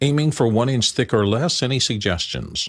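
This man has a plain, everyday voice, talking at a moderate pace with ordinary pitch variation. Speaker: co-host. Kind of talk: interview. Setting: video call.

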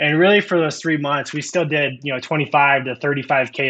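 A man with a Midwestern American accent speaks at a moderate pace in a bright, sharp tone with fairly even intonation. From US Midwest, Iowa. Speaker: snack company founder and CEO. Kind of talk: business podcast interview.

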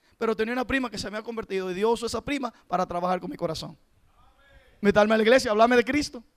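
At a very fast pace, a man with a high pitch talks in an animated tone, the sound dry and close with no echo. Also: ordinary pitch variation. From rural south of the country. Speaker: preacher. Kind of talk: sermon.

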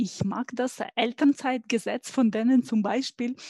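A woman uses a plain, everyday voice, fairly high in pitch with ordinary pitch variation, speaking fairly slowly in a dry, close sound with no echo. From Ukraine. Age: 40s. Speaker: engineer and IT consultant. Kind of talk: interview.

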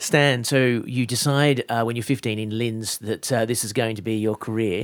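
At a moderate pace, a man talks at a medium pitch with fairly even intonation. His loudness swings widely, in an unremarkable speaking voice. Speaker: radio host interviewer. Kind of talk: radio interview. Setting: studio.

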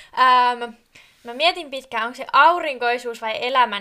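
A high-pitched woman's voice with noticeable background noise. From southern Finland, Kiikoinen. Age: 20s. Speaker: podcast co-host, tourism student. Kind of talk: casual chat.

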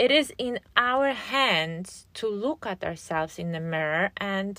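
The speaker has a Polish accent and lively intonation at a very slow pace. The recording is very clean, with a silent background. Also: woman. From Poland. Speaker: podcast host and relationship coach. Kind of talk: solo podcast monologue. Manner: casual.

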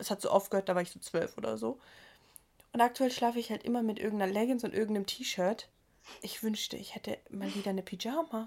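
A woman speaks in an animated tone at a very fast pace. Her pitch sits fairly high. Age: 20s. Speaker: podcast co-host. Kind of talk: casual chat. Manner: animated, laughing often.

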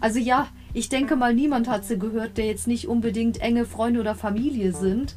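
At a fairly quick pace, a woman with a fairly high pitch talks in very even loudness and fairly even intonation. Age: 30s. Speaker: podcast host. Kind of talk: casual monologue review.

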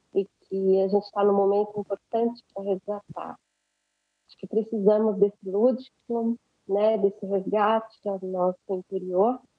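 Music plays behind a woman speaking at a fairly slow pace. Her medium pitch is monotone and flat, while her loudness swings widely. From Brazil, Guarulhos (São Paulo). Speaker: dancer and choreographer. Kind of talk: podcast interview.

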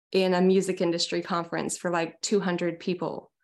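With an American accent, a woman speaks at a moderate pace in a monotone, flat intonation, in a very clean recording with a silent background. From US Pacific Northwest, small town near Seattle. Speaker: singer-songwriter. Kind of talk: casual interview.

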